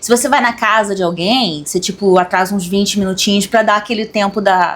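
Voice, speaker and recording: Woman with a Carioca accent, medium pitch, fairly even intonation and a fairly quick pace, against noticeable background noise. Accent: carioca Brazilian Portuguese. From Rio de Janeiro, Brazil. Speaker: occultism channel co-host. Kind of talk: casual discussion.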